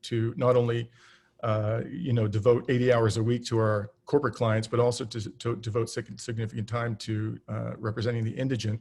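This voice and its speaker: In a very clean recording with a silent background, a man of medium pitch talks at a moderate pace in a somewhat breathy voice with monotone, flat intonation. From southern Ontario, Canada. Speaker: political candidate. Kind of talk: campaign talk. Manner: many fillers and false starts.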